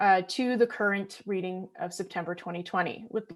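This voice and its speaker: A woman talks at a fairly quick pace and a medium pitch with ordinary pitch variation, on a very clean recording with a silent background. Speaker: graduate student and geotechnical engineer. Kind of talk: research presentation. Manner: fast.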